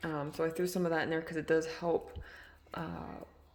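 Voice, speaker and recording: A woman speaks at a fairly slow pace. She is soft-spoken. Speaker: reptile hobbyist vlogger. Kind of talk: casual tutorial. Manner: soft, low volume; hesitant, many fillers.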